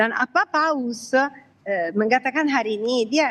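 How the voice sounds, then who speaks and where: A high-pitched woman's voice in an Italian accent, at a fairly slow pace. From Italy. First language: Italian (speaking Indonesian). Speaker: commentator on interfaith dialogue. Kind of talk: live TV interview. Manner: halting.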